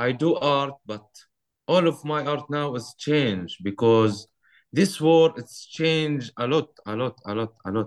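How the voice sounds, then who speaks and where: A man with an Arabic accent is heard in a dry, close sound with no echo. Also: fairly high pitch for a man, ordinary pitch variation, fairly slow pace. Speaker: artist. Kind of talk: interview.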